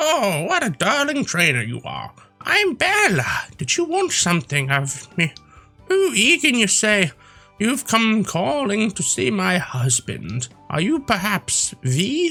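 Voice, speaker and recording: In a put-on character voice with a fairly high pitch, the speaker goes at a fairly slow pace as faint music plays in the background. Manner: sweet, warm.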